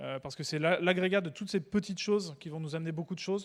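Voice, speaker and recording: On a very clean recording with a silent background, a man with a high pitch talks at a fairly quick pace with ordinary pitch variation. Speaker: conference speaker, developer evangelist. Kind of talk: conference talk. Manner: casual, hesitant with fillers; fast.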